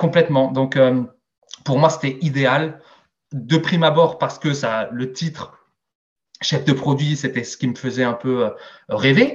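Somewhat breathy, a man with a fairly high pitch speaks at a very slow pace, with long, frequent pauses and fairly even intonation. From Alsace, Strasbourg. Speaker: sales director. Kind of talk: interview. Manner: hesitant, many fillers.

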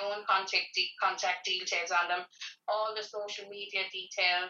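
A woman with an Irish accent, monotone and flat in intonation, at a moderate pace. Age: 40s. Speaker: community organiser. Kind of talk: interview. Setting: at home.

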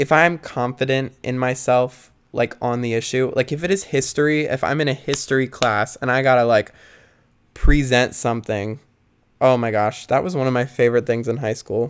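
At a moderate pace, a man speaks in a medium pitch with fairly even intonation, in a very clean recording with a silent background. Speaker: solo podcaster. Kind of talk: casual monologue. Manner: rambling with many fillers.

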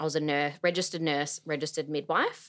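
The recording is very clean, with a silent background. A woman with a fairly low pitch sounds passionate despite monotone, flat intonation. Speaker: doula and former midwife. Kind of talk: casual interview chat. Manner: passionate, talkative.

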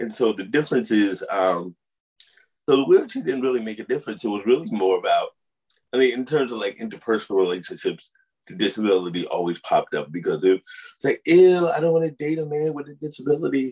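A man with an American accent at a very fast pace, with big swings in loudness. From US, St. Louis and upstate New York. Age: 50s. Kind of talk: interview. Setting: video call. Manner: halting.

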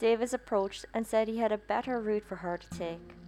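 This woman has a plain, everyday voice, fairly even intonation and a moderate pace. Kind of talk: true-crime narration. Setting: podcast with subscribe outro. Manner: grim, measured storytelling with flat, matter-of-fact delivery of violent details; opens with a hushed second-person scene, then shifts to steady reporting.

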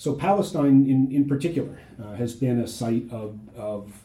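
With an American accent, a man talks in a medium pitch, his tone dark and mellow and somewhat breathy. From US Midwest, Ohio. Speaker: history professor. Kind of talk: interview. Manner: halting, many fillers and repetitions.

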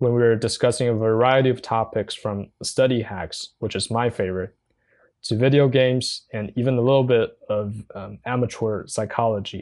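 At a moderate pace and with fairly even intonation, a man speaks over a quiet background. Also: medium pitch for a man. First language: Mandarin Chinese. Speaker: podcaster. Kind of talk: personal monologue. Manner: halting.

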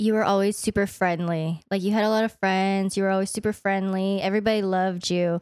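On a very clean recording with a silent background, a woman speaks at a moderate pace and a medium pitch. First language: Vietnamese. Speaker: podcast guest. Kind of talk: casual chat.

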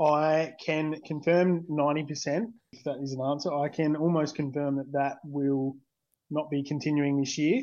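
A man with an Australian accent speaks fairly slowly at fairly high pitch, flat and monotone, with big swings in loudness. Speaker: fantasy league coach. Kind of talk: interview.

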